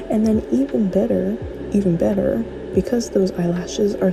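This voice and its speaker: A soft-spoken woman talks at a moderate pace with music in the background. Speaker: gaming content creator. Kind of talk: casual gameplay commentary. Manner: soft-spoken, chill.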